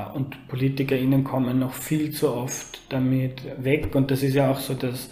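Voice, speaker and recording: A man's medium-pitched voice carries audible room echo, with noticeable background noise behind it. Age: 30s. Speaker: journalist. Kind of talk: interview.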